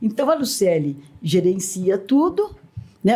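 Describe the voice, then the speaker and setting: Noticeable background noise sits behind the speech. The voice moves through very wide pitch swings. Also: woman. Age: 70s. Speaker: teacher and school owner. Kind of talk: podcast interview. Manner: animated storytelling.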